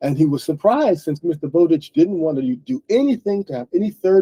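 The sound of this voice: The reading voice is unforced. Nothing about it sounds pushed.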